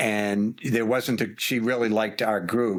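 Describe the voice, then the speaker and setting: The voice belongs to a man with a medium pitch. The recording is very clean, with a silent background. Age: 60s. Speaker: finance executive and founder. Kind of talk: interview. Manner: halting, repeats words.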